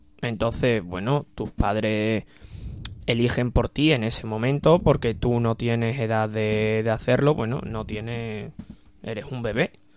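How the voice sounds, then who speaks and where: This man's voice sits at a medium pitch, with fairly even intonation and a fairly slow pace. It is an ordinary speaking voice. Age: 20s. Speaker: university student. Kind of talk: radio panel discussion.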